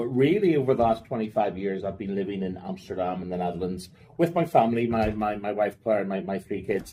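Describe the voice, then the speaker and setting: With a Northern Irish accent, a man speaks at a fairly quick pace. His pitch is fairly low, with ordinary pitch variation. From Northern Ireland, Belfast. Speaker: finance operations executive. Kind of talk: podcast interview. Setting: in person. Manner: casual, with fillers and repetitions.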